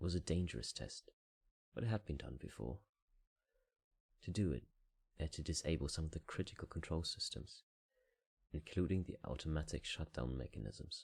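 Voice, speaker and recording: A soft-spoken man with a very deep, low pitch, a calm tone and vocal fry, lively intonation, a fairly quick pace and long, frequent pauses. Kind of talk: audiobook reading. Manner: soft-spoken, calm.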